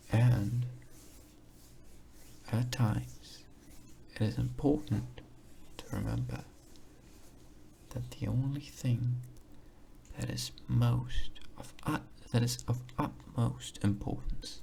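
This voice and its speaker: A man talks at a very slow pace with long, frequent pauses. Noticeable background noise runs underneath. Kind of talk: ASMR soft-spoken talk to camera. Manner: soft-spoken, calming, slow.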